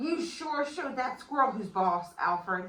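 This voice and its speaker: A woman's put-on character voice, high in pitch. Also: moderate pace. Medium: read story. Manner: friendly, upbeat.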